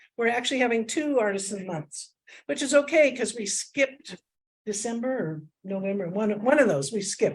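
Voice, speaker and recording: A woman's medium pitch and lively intonation at a fairly quick pace. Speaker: art society officer running the meeting. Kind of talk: meeting announcements. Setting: meeting room with audience, streamed on Zoom. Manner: loud; casual, filler-heavy.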